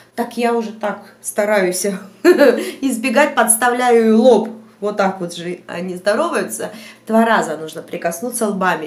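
Very slow speech from a fairly high-pitched woman, with audible room echo. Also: lively intonation. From Georgia, Batumi; Georgia. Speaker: vlogger. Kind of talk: Q&A vlog monologue. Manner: hesitant, many fillers. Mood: chatty, storytelling. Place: home room. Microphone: lapel.

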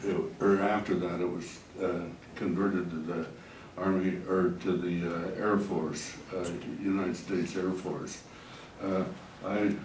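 With music in the background and audible room echo, a man talks at a fairly slow pace in a very deep, low voice. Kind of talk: talk to an audience. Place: meeting room.

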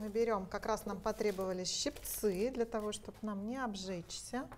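Some light background noise sits under a woman speaking at a fairly slow pace. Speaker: product presenter; presenter. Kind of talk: sales pitch. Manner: enthusiastic. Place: kitchen.

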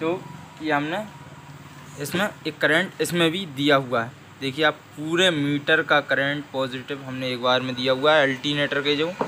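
This man's intonation stays fairly even. He talks at a fairly slow pace over light background noise. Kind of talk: tutorial. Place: workshop. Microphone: phone near.

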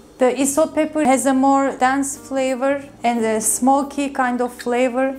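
A woman at a high pitch and fairly slow pace, with faint music in the background. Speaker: video host. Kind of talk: casual kitchen tour tutorial. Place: kitchen. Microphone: lapel.

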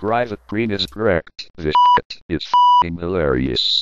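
Over sound effects in the background, a man puts on a character voice. It is fairly low in pitch and delivered at a fairly slow pace. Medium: audio drama.

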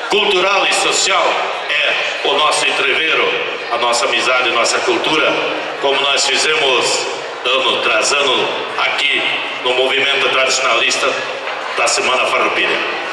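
A man at a moderate pace with long, frequent pauses, ordinary pitch variation and very even loudness, amid strong room echo and noticeable background noise. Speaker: event host. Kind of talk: stage announcement speech. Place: stage.

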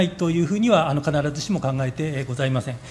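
Over light background noise, a man talks in a fairly high voice with ordinary pitch variation. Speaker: expert witness at parliamentary committee. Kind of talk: parliamentary testimony. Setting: parliamentary committee room. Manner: halting, many fillers. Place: meeting room. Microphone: podium.

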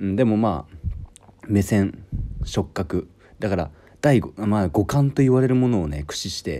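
Fairly slow and fairly low, a man's dark, mellow voice moves with lively intonation. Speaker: gymnast. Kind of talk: talking-to-camera tutorial. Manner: casual, many fillers.

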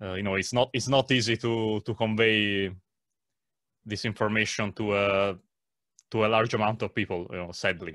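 A man with an Italian accent speaks at a moderate pace and a fairly low pitch, his fairly even intonation broken by long, frequent pauses, in a dry sound with no echo over a quiet background. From Italy. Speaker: translator of natural law material. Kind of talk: interview conversation. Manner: halting with many fillers. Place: home room. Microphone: video call.

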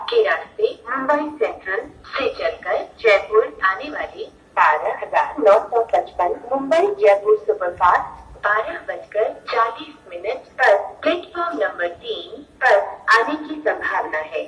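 With audible room echo, a woman talks at a very slow pace and high pitch, her voice making very wide pitch swings between long, frequent pauses. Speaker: railway station announcer. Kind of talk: train station announcement. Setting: PA system. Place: station.

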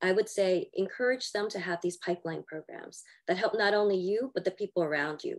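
A woman talks at a fairly quick pace in a normal speaking voice, with medium pitch and ordinary pitch variation. The sound is dry and close with no echo. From New York City. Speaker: sociology professor and author. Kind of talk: interview in a webinar.

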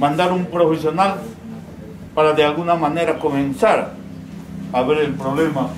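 Amid noticeable background noise, a man speaks at a moderate pace. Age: 60s. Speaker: regional government official. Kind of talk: public meeting speech. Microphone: camera far.

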